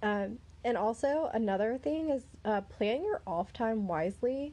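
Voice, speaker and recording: Her tone is dark and mellow, in a Southern US accent. The woman speaks at a fairly slow pace. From US South. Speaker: podcast host. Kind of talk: casual chat.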